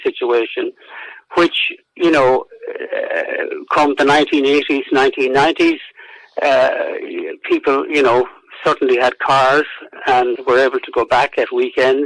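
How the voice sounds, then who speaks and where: A man with a Roscommon accent at a moderate pace. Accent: Irish, Roscommon. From Ireland, County Roscommon. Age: 70s. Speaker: historian and author. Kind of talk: radio interview. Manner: halting, many fillers and repetitions.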